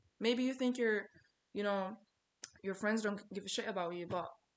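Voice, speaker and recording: Against a quiet background, a woman with a non-native accent speaks at a medium pitch. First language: not English. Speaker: small content creator, vlogger. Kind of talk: casual motivational vlog monologue. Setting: talking to camera. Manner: conversational, repetitive. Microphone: poor video quality.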